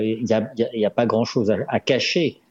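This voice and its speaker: The man speaking has a fairly low pitch. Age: 60s. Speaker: dentist and author. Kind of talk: radio interview. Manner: measured, formal.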